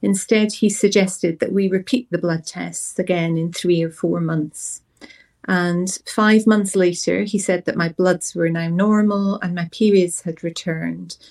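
In a Scottish accent, a woman speaks at a fairly slow pace and a medium pitch. Her intonation stays fairly even. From Scotland. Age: 40s. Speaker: patient sharing her story. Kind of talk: personal testimony. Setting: studio.

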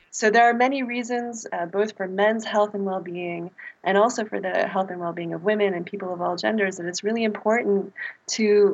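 A normal speaking voice, fairly quick in pace, with ordinary pitch variation. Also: woman. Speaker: public health researcher.

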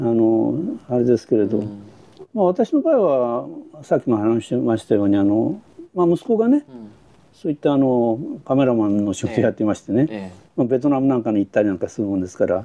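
Very fast, a man talks in a dark, mellow tone. His pitch is medium and his intonation lively. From Japan, Yonago, Tottori (San'in region). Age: 80s+. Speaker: war-era witness, retiree running a used bookshop. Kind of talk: interview, personal recollection. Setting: at interviewee's location in Ebina.

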